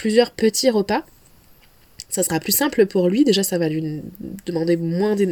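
Noticeable background noise behind a woman speaking at a medium pitch. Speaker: dietitian podcast host. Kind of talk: solo podcast talk. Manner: hesitant, many fillers.

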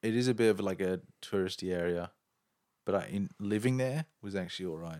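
Here a man talks with a fairly low pitch. He holds a moderate pace, and his pitch varies in an ordinary way. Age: 20s. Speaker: podcast host. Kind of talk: casual chat.

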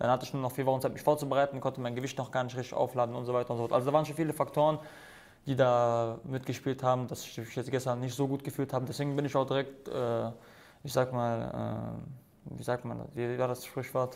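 A man's very fast, monotone delivery at medium pitch with flat intonation. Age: 20s. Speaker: MMA fighter. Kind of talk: casual chat.

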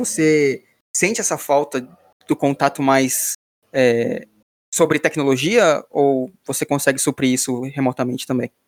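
Dry and close with no echo, the recording captures a man in a normal speaking voice with fairly high pitch at a fairly slow pace. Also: ordinary pitch variation. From São Paulo, Brazil. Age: 20s. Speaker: podcast host, iOS developer. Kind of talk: casual chat.

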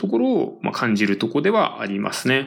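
Using vocal fry, a man speaks with very wide pitch swings. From Tokyo. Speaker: radio-style music show host. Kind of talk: casual solo talk between songs.

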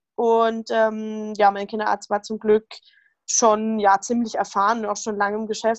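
In a dry, close sound with no echo, a woman with an unremarkable speaking voice talks at a fairly high pitch and a moderate pace with fairly even intonation. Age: 20s. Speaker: rheumatism patient, retreat participant. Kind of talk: interview, personal testimony.

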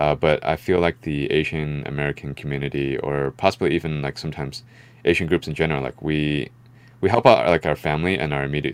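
Speaking at a very fast pace, a man with a very deep, low pitch uses fairly even intonation and vocal fry. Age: 30s. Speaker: investor. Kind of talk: casual chat.

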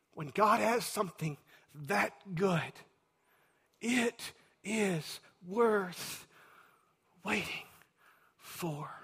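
In a Texan accent, a man with a high pitch and ordinary pitch variation speaks at a very slow pace, with long, frequent pauses. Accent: Texan (US Southern). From Texas. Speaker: pastor. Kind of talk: sermon.

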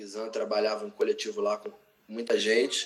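Speaking with a Rio de Janeiro accent, a man uses ordinary pitch variation. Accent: Carioca Brazilian Portuguese. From Brazil, Rio de Janeiro. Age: 30s. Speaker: writer and cultural activist. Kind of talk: casual interview. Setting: remote call.

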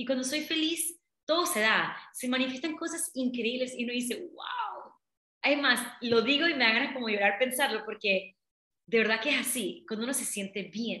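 The voice is raised and projected, moving at a moderate pace with ordinary pitch variation. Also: woman, high pitch for a woman. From Panama, Colón. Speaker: business coach. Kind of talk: interview.

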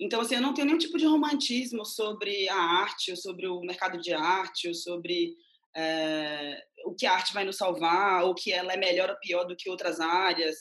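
Lively intonation marks this woman's unremarkable speaking voice, medium in pitch and moderate in pace. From Bahia, Brazil (Mundo Novo). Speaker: independent curator and art critic. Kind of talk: interview.

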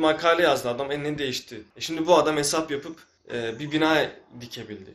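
An unremarkable speaking voice from a man: fairly high pitch, ordinary pitch variation, big swings in loudness, fairly quick pace. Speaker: podcast host. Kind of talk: casual chat.

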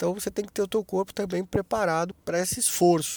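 The recording is very clean and the background silent. A man rattles along very rapidly. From Brazil, interior of São Paulo (Taubaté). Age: 50s. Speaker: podcast host, journalist. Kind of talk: solo podcast monologue.

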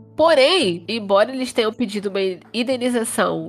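Over music in the background, a woman speaks with lively intonation and an animated tone. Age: 20s. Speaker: true crime podcast host. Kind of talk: casual storytelling chat.

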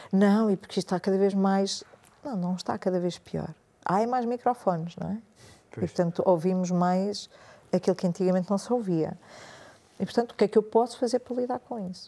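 At a fairly quick pace but with long, frequent pauses, a woman speaks in a medium pitch with a dark, mellow tone. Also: ordinary pitch variation. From Portuguese-Spanish family, schooled in French. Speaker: meditation and yoga teacher, former journalist. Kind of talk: casual interview chat.

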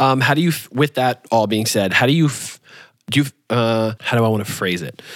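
In an unremarkable speaking voice, a man with an American accent talks at a fairly quick pace. The sound is dry and close with no echo, a very clean recording with a silent background. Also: medium pitch for a man, ordinary pitch variation. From New York, then Michigan from age 13. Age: 20s. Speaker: podcast host. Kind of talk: casual interview chat.

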